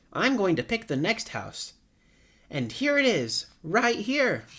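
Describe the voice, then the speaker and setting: In a put-on character voice, a man talks at a fairly slow pace with an extremely high pitch. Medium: read story.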